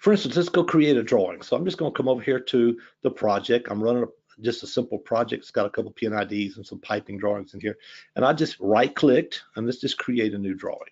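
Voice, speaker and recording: A man with a Louisiana accent at a very fast pace, with big swings in loudness. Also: medium pitch for a man, lively intonation. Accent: noticeable Southern US (Louisiana). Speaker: software product expert, former pipe designer. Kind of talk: live software demo webinar. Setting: online webinar. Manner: casual, many fillers (um, uh).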